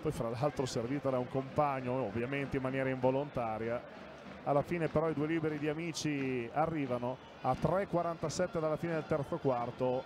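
A man speaks with fairly even intonation at a fairly high pitch. His is a normal speaking voice. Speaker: live TV basketball commentator. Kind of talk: live sports commentary, fast play-by-play of the action with short reactions. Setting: courtside at the arena, live TV broadcast. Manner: emotional, warm tone in the pre-game opening.

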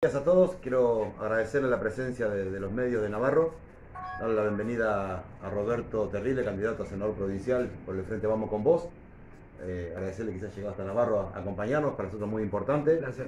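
A man's fairly low voice at a very fast pace, with ordinary pitch variation, audible room echo and light background noise. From Argentina, Buenos Aires province. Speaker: local council candidate; council candidate. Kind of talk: press conference. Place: meeting room. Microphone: camera far.

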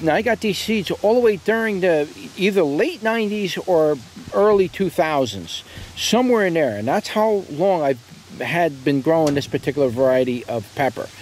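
A man at a moderate pace with very wide pitch swings, light background noise and a dry sound with no echo. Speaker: seed seller. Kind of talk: casual product review commentary. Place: garden.

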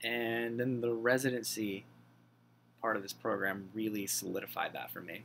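An American-accented man speaks at a moderate pace with monotone, flat intonation over light background noise. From southern Pennsylvania, US. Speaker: graduate student in music therapy. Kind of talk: self-introduction video. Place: home room. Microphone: webcam.

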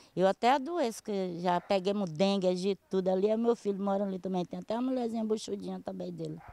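A woman speaks in a normal speaking voice at a medium pitch with ordinary pitch variation, moving at a fairly quick pace with hardly any pauses, and the sound is dry and close with no echo. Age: 60s. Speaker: local resident. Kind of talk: news interview.

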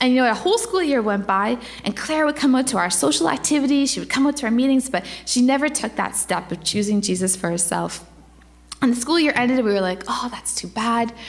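A woman's high-pitched voice at a very fast pace, with audible room echo. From Ontario. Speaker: campus missionary. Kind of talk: church presentation. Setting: church.

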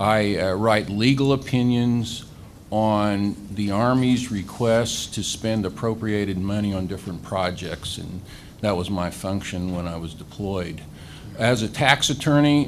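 A man with a Midwestern American accent speaks at a fairly slow pace and a fairly low pitch with ordinary variation, over light background noise. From Ellis, Kansas; Kansas. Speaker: attorney and political candidate; candidate. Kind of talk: candidate forum speech. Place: meeting room. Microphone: podium.

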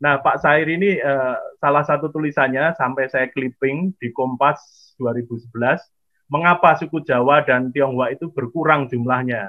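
A man talks at a fairly slow pace in a fairly high pitch. His intonation is fairly even, and the background is quiet. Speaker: historian and program host. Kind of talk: online seminar introduction. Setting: video call. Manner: halting, many fillers. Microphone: webcam.

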